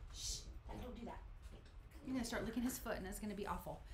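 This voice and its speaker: A woman is speaking. There is audible room echo and light background noise. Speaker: card making channel host. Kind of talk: live stream crafting tutorial. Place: home room.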